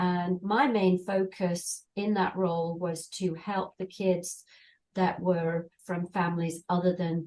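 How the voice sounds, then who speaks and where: Speaking very slowly with a British accent, a woman keeps her intonation fairly even. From England. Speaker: volunteer. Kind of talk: interview.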